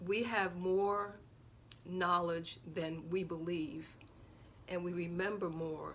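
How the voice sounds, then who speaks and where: Audible room echo surrounds a woman speaking at a very slow pace, with long, frequent pauses. Her intonation is fairly even. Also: fairly low pitch for a woman. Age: 70s. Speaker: nonprofit founder and meditation teacher. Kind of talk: interview. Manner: halting.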